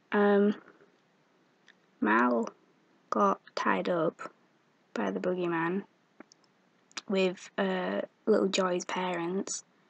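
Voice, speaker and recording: At a very slow pace, a woman speaks with long, frequent pauses. The sound is dry and close, with no echo. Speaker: video blogger, game fan. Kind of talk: casual vlog, game episode recap. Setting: at home in bed, at night. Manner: rambling, hesitant with many ums. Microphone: built-in laptop microphone.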